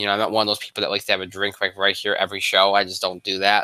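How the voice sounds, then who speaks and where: On a very clean recording with a silent background, a man with a fairly low pitch and a bright, sharp tone speaks in a dry, close sound with no echo. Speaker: sports talk show host. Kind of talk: casual live-stream show talk. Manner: speaking lower than usual.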